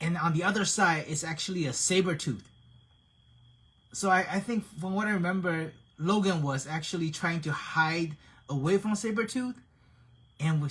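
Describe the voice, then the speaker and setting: Pitched high, a man with a non-native accent speaks with ordinary pitch variation and long, frequent pauses. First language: not English. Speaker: action figure painter and hobby streamer. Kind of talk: live-streamed tutorial chat. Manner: casual, halting with frequent repetitions.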